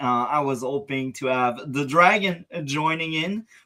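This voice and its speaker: Moving at a very slow pace, this voice carries a non-native accent. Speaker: political reaction streamer. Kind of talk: casual talk to camera.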